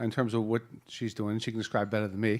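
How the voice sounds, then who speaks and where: Speaking at a very fast pace, a man talks with an American accent. The recording is very clean and the background silent. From Boston area. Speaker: panel moderator, wealth management executive. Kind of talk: panel introduction. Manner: casual, joking.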